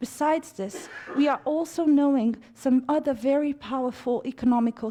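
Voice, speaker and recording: With a Romanian accent, a woman speaks at a moderate pace in a dark, mellow tone with ordinary pitch variation. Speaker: conference speaker. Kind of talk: formal speech. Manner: formal.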